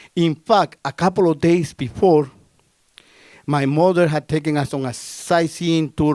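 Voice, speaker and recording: A man talks with a Spanish accent at a fairly high pitch, using ordinary pitch variation. The sound is dry and close with no echo, and the recording is very clean over a silent background. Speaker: storyteller. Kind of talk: live storytelling performance. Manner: casual, conversational.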